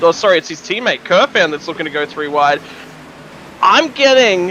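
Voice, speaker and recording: A man talks in a raised, projected voice over noticeable background noise. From Australia. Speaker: sim racing commentator. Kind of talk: live commentary.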